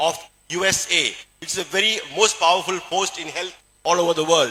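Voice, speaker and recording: A man with a Keralan accent talks at a moderate pace. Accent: Indian English (Malayali). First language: Malayalam. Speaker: surgeon and motivational speaker. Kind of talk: presentation to an audience. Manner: halting, with many fillers.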